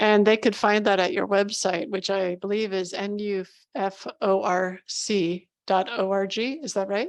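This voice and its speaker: A woman talks at a fairly slow pace with hardly any pauses, in a normal speaking voice. Her medium pitch follows a fairly even intonation. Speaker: interviewer. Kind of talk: interview.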